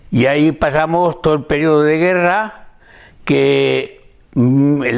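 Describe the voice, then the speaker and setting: A man speaks very slowly. His pitch is fairly high. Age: 80s+. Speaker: elderly interviewee, oral history witness. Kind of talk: oral history interview, reminiscence. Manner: halting, with hesitations and repetitions.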